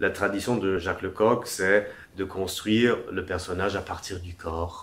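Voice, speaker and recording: A man speaks with a very deep, low pitch. His intonation is monotone and flat, with audible room echo. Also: fairly slow pace. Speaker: acting teacher. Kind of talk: lecture.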